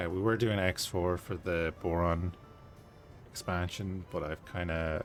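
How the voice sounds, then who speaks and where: Music plays in the background as a man with a very deep, low pitch speaks at a fairly slow pace. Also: fairly even intonation. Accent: Irish. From Ireland. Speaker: gaming streamer. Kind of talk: live gameplay commentary. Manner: casual, conversational.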